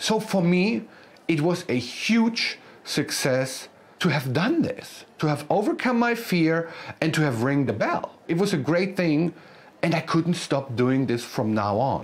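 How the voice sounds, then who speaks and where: Over noticeable background noise, a speaker with a German accent talks at a fairly slow pace. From Germany, countryside. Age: 40s. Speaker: motivational speaker. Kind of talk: motivational speech.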